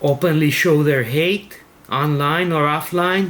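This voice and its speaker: A man with a Spanish accent speaks in a fairly high pitch against noticeable background noise. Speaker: teacher leading a devotional. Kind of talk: prayer reading and devotional commentary.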